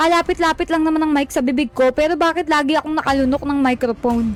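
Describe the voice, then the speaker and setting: Shouting at a very fast pace, a woman with a high pitch shows ordinary pitch variation. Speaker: gaming streamer. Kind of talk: live stream gameplay chat. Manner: loud, shouting; animated. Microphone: mic distorting, clipping from loud voice.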